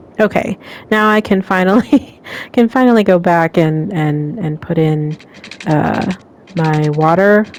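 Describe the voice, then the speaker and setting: A woman mumbles at a fairly slow pace, her pitch fairly low with ordinary variation. Noticeable background noise runs underneath. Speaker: gaming channel host. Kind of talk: gameplay commentary. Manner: mumbling; hesitant with fillers.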